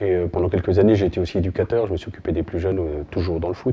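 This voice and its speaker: Fairly even intonation marks this man's very deep, low-pitched voice. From France, Burgundy (Côte-d'Or). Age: 40s. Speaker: sports club volunteer president. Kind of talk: interview testimony.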